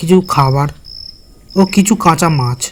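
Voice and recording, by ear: A high-pitched male voice with ordinary pitch variation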